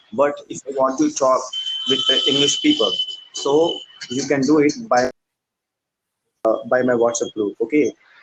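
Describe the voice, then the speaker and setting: With an Indian accent, this speaker talks at a moderate pace with long, frequent pauses, in a dry, close recording with no echo. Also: man. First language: Hindi. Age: 20s. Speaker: English learner. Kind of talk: casual chat. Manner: halting.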